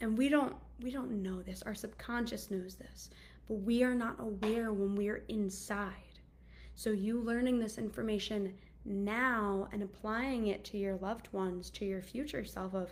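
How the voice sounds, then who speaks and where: Her voice is somewhat breathy, with fairly even intonation. Room echo can be heard around the woman. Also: medium pitch for a woman, moderate pace. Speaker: anxiety coach. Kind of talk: casual monologue. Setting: video call.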